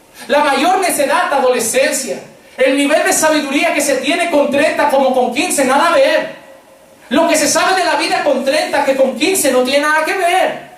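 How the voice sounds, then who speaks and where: A man with an extremely high voice speaks at a moderate pace with very even loudness and fairly even intonation, over noticeable background noise and audible room echo. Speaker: pastor. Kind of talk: sermon.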